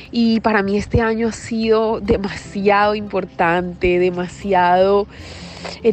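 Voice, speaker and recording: A woman speaks at a medium pitch with ordinary pitch variation. There is noticeable background noise. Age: 30s. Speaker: wellness podcaster. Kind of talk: personal monologue. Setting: outdoors.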